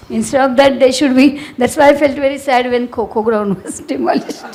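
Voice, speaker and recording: Audible room echo and noticeable background noise surround a woman speaking at a high pitch. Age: 70s. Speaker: social activist. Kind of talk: panel discussion. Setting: auditorium with audience. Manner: halting.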